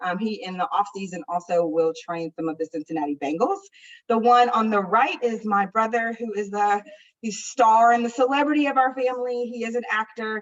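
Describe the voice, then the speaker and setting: A fairly quick, fairly high-pitched woman's voice with an American accent and lively intonation. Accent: strong Midwest accent with DC roots. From US Midwest, Indianapolis. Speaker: public health official. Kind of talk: conference presentation. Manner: fast.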